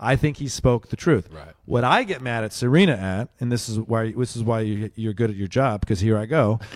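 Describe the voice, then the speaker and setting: In a very clean recording with a silent background, a man with a normal speaking voice at medium pitch talks at a moderate pace with hardly any pauses, lively intonation and big swings in loudness. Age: 30s. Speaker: comedian. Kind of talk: casual chat.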